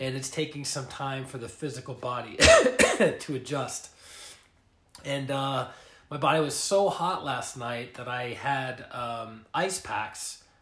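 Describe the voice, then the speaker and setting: Amid noticeable background noise and audible room echo, a man with a fairly high pitch speaks at a very slow pace with ordinary pitch variation. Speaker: life coach and energy healer. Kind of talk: casual livestream talk. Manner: hesitant, filler words.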